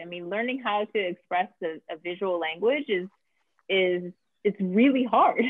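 A woman speaks with an American accent and ordinary pitch variation. The background is quiet. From Brooklyn, New York; New York. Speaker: film writer and director; guest. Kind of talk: interview. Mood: reflective, enthusiastic. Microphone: video call.

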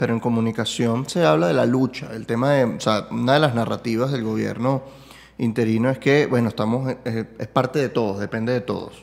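A man with a Caracas accent talks at a fairly quick pace with ordinary pitch variation. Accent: Venezuelan Spanish (Caracas). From Venezuela. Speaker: podcast host and comedian; podcast host, comedian. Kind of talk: casual conversational interview. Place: home room. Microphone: studio mic.

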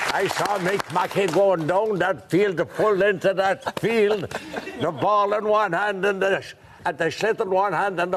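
Amid noticeable background noise, a high-pitched man talks at a moderate pace with fairly even intonation. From Ireland. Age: 90s. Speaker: hurling fan; guest. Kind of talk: TV chat show interview. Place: studio.

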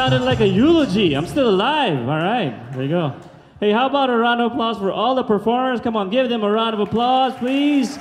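Light background noise accompanies a man with an extremely high voice talking at a fairly quick pace with lively intonation. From Philippines. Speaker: stand-up comedian. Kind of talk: stand-up comedy set, crowd-work audience surveys and married-life jokes. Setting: stage with live audience. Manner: chatty and conversational, repeatedly checking in with the crowd; animated, acting out exasperated sighs and groans. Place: stage. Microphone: handheld.

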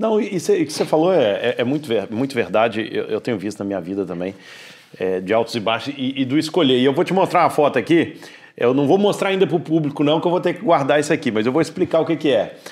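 A man speaks at a very fast pace with vocal fry and very wide pitch swings over a quiet background. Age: 40s. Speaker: podcast host. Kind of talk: casual interview chat. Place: studio. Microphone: lapel.

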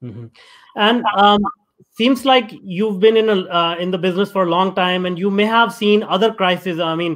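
The man's voice sits high in pitch, and the background stays quiet. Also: ordinary pitch variation, moderate pace. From India. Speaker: podcast host. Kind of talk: reading guest introduction; interview conversation. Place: home room. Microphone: video call.

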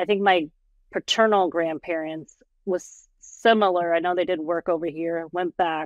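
Against a quiet background, a woman with a fairly low voice speaks with fairly even intonation and a dry sound with no echo. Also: moderate pace. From Portland, Oregon, USA. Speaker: podcast guest, administrative professional. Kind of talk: podcast interview answer. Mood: calm, reflective. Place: home room. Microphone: video call.

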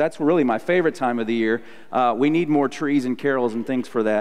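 Fairly quick speech from a man, with a quiet background. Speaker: pastor. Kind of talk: sermon. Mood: warm, lightly humorous. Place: church.

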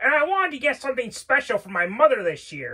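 This cartoonish character voice rattles along at a very fast pace. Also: female-sounding voice. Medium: puppet show. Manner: earnest, hesitant, lots of 'well'.

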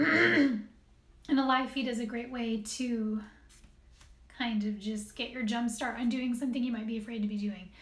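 Pitched high, a woman talks at a moderate pace with audible room echo and light background noise. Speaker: beauty vlogger. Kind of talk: casual vlog chat, product review. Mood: upbeat, enthusiastic. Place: home room. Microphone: phone near.

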